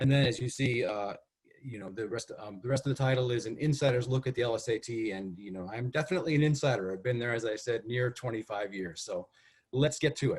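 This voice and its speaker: Speaking at a very fast pace, a man sounds somewhat breathy, and his pitch varies in an ordinary way. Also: medium pitch for a man. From US Northeast, Connecticut. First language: Spanish. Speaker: test development expert. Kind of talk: webinar presentation. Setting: video call. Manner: hesitant, many fillers.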